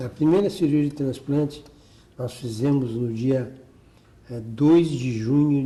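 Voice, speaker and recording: A man speaks very slowly at a medium pitch, with ordinary pitch variation. His tone is dark and mellow, and somewhat breathy. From Porto Alegre, Rio Grande do Sul, Brazil. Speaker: cardiac surgeon. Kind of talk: oral history interview answer.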